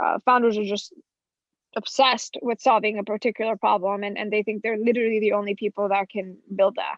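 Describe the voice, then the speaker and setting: A woman talks at a fairly quick pace with a fairly high pitch. Her intonation stays monotone and flat. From Florida (Orlando), US; born in Colombia. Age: 20s. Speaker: venture capitalist. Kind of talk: podcast interview. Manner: fast.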